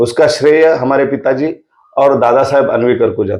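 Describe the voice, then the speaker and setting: Here is a man with a plain, everyday voice, fairly high in pitch, with ordinary pitch variation. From Sillod area, Maharashtra, India. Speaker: agricultural scientist. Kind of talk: podcast interview.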